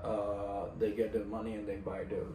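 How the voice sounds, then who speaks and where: A man speaks with audible echo from the room. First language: Czech. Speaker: fitness coach and vlogger. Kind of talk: casual vlog monologue. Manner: halting, searching for words.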